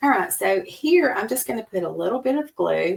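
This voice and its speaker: With a Southern accent, a woman speaks at a moderate pace. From US South, Alabama. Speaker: card-making crafter. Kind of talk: tutorial. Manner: casual, chatty.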